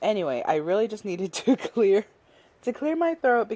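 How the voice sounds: The speaker uses a natural reading voice. That voice carries the whole recording.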